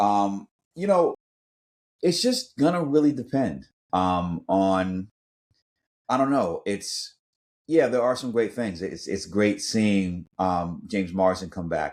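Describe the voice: Slow pace and lively intonation, with a slightly mellow tone. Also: man, fairly low pitch for a man.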